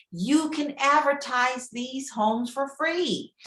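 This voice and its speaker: A woman speaks very slowly in a high-pitched voice with a bright, sharp tone. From Kentucky (Prospect, near Louisville). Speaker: real estate agent. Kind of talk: guest lecture to a class.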